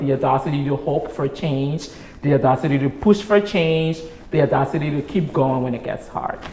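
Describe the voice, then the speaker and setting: Noticeable background noise accompanies a voice moving at a fairly quick pace with ordinary pitch variation. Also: woman. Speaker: nonprofit executive director. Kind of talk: interview conversation.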